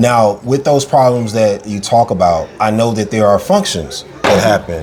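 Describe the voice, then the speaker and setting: Over noticeable background noise, a man with an American accent speaks at a moderate pace with ordinary pitch variation. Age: 30s. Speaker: podcast host. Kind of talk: interview. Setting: on location at a lodge.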